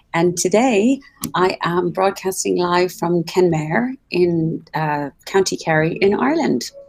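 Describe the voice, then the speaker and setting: A woman speaks very slowly in an Irish accent. Her pitch is fairly low and her intonation lively. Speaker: travel show host. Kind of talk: live broadcast chat. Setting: live video call from a hotel. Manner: soft-spoken, kept low.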